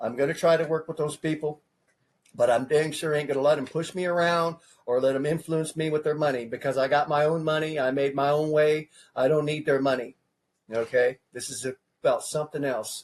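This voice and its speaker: A man talks in an ordinary speaking voice at a fairly high pitch. He keeps a fairly quick pace and fairly even intonation. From California. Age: 50s. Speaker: presidential candidate. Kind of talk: interview. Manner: casual, repetitive.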